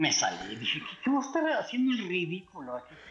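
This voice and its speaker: A man's pitch swings very widely as he talks, with noticeable background noise behind him. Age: 60s. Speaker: mobile game player. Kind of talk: casual chat.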